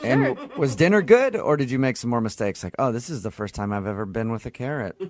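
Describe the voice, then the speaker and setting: Noticeable background noise behind a man of medium pitch at a fairly quick pace. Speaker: radio show co-host. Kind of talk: morning radio show banter.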